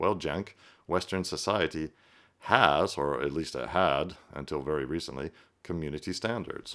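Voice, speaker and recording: A man's very deep, low voice with vocal fry, a bright, sharp tone, ordinary pitch variation and a moderate pace. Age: 50s. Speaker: political commentator. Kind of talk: reaction commentary. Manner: conversational with fillers.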